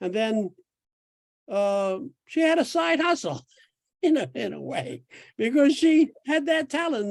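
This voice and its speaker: A man's voice with very wide pitch swings at a fairly slow pace, on a very clean recording with a silent background. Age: 80s+. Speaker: astrologer. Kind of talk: casual chat. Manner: halting.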